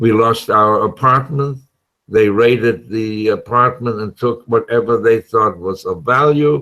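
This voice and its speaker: A man with a medium-pitched voice speaks at a fairly slow pace. His tone is bright and sharp, with ordinary pitch variation. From Germany, Cologne. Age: 80s+. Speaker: Holocaust survivor, retired optometrist. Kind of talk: interview testimony.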